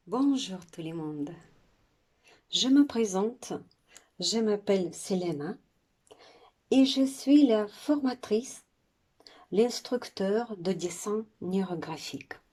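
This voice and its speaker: Very slowly, with long, frequent pauses, a woman speaks in a dark, mellow tone at a medium pitch, her intonation lively and her loudness swinging widely. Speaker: art instructor. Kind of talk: tutorial.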